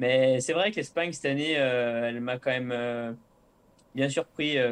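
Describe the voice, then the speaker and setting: Fairly slow pace with ordinary pitch variation. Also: man. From Savoie, French Alps. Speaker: professional cyclist. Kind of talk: interview. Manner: hesitant, many filler euh.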